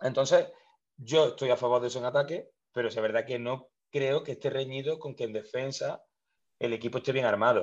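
A man of medium pitch at a fairly quick pace, with fairly even intonation. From Spain, Córdoba (Andalusia). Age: 30s. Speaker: basketball coach. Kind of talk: interview. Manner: halting, many repetitions.

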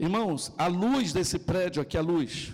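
This is a man's voice. His pitch is high. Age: 40s. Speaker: pastor. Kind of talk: sermon.

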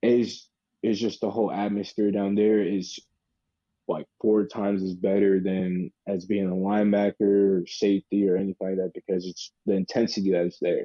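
A man's fairly low voice with an American accent, monotone, flat intonation and a moderate pace. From US South, Charlotte, North Carolina. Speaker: American football player. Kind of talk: interview. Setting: phone call. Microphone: phone line, audio only.

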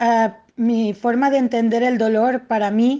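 Speaking at a fairly slow pace, a woman has a high pitch and a dark, mellow tone. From Catalonia, Spain (Tortosa). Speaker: autoimmune disease patient. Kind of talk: interview. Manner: halting, with many repetitions.

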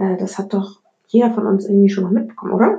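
Her tone is dark and mellow, with medium pitch and a somewhat breathy quality. The woman's intonation stays flat and monotone. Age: 20s. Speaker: podcast host. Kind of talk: solo monologue podcast. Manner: casual, many filler words.

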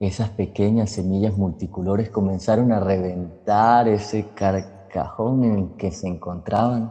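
A normal speaking voice with fairly even intonation. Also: man. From Colombia, Cúcuta (Norte de Santander). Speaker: storyteller and psychologist. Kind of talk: storytelling narration.

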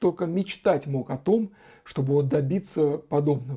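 A man's fairly high-pitched voice, an ordinary speaking voice, holds a moderate pace and varies its pitch in an ordinary way. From Russia, Saratov. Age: 40s. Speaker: blogger answering viewer questions. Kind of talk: solo Q&A monologue.

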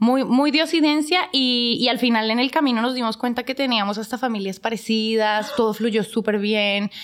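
Here is an ordinary speaking voice from a woman at a fairly high pitch. She keeps a moderate pace with ordinary pitch variation and hardly any pauses. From Colombia, Bogotá. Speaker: business owner. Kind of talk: casual chat.

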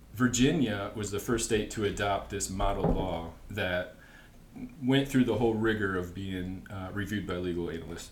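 The man talks at a moderate pace in a fairly low voice. His pitch varies in an ordinary way, and noticeable noise sits in the background. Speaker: guest explaining history. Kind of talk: casual chat.

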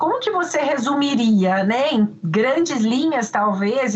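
Lively intonation marks a woman's speech at a moderate pace, with noticeable background noise behind her. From Brazil, Minas Gerais. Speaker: law professor and podcast host. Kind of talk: interview.

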